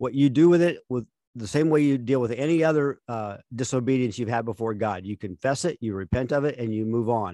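With a dark, mellow tone at medium pitch, a man talks at a fairly quick pace with ordinary pitch variation, in a dry, close sound with no echo. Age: 60s. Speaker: podcast co-host. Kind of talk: casual chat.

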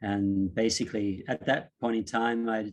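This man has a plain, everyday voice. His pitch sits fairly low, and his intonation stays fairly even. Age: 40s. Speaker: yoga teacher. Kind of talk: casual chat.

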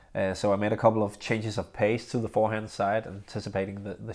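The speech comes at a fairly quick pace in a flat monotone, on a very clean recording with a silent background. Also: man. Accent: Danish. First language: Danish. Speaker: professional badminton player and podcast host. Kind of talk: casual solo podcast monologue. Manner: halting, many fillers.

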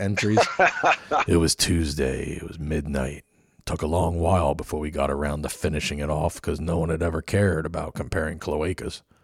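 Using a put-on character voice, a man speaks in a very deep, low, raspy register with a deadpan tone at a moderate pace, on a very clean recording with a silent background. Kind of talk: noir, hard-boiled narration. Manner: deadpan, gravelly.

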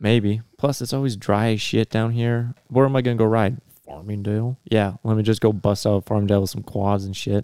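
A man's fairly low, dark, mellow voice at a fairly quick pace with fairly even intonation, dry and close with no echo, on a very clean recording with a silent background. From North Dakota (near Bismarck). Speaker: motocross racer and math teacher. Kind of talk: casual chat.

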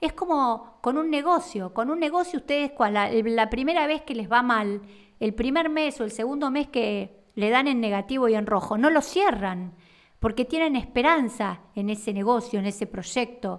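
A woman speaks at a moderate pace with high pitch and lively intonation. The recording is very clean, with a silent background. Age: 50s. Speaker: therapist and podcast host. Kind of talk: monologue podcast. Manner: halting.

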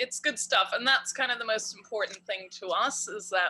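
A woman speaks with an Irish accent. Her tone is bright and sharp, with ordinary pitch variation. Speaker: cannabis edibles maker. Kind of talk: casual interview chat.

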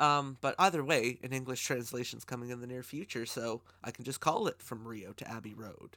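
A man at a moderate pace, medium in pitch, with a bright, sharp tone. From Canada. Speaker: podcast host. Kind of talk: casual interview. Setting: remote call.

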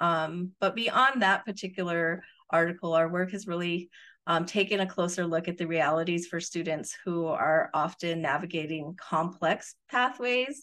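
Over a quiet background, a woman with a New Mexico accent speaks in a bright, sharp tone at a fairly low pitch. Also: ordinary pitch variation, moderate pace. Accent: New Mexican American. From rural northern New Mexico. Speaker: professor and research director. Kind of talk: interview.

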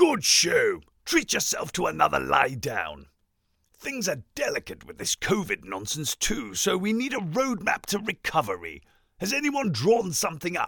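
At a moderate pace, a man talks in a high pitch. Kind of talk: comic overacting. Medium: comedy sketch. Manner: pompous, flippant, upper-class.

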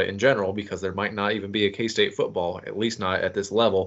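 A man with an American accent, fairly low pitch and a very fast pace. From Manhattan, Kansas. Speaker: sports podcast co-host. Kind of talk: casual chat.

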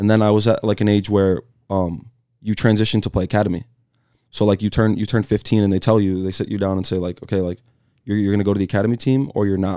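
Speaking very fast in an American accent, a man with a fairly low pitch and a dark, mellow tone keeps his intonation fairly even on a very clean recording with a silent background. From Michigan, suburb of Detroit. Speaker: professional soccer player. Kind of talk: casual chat. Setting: studio.

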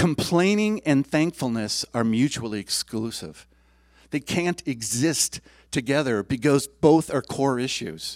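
In a very clean recording with a silent background and a dry, close sound with no echo, a man with an unremarkable speaking voice talks at a fairly slow pace and a fairly high pitch, with lively intonation. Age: 60s. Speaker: lay preacher, church board member. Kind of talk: sermon. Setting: church service with congregation.

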